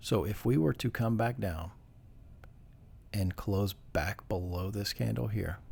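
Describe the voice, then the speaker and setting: With lively intonation, a man speaks in a fairly low, somewhat breathy voice. He leaves long, frequent pauses. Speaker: day trader. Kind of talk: tutorial. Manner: casual, with fillers.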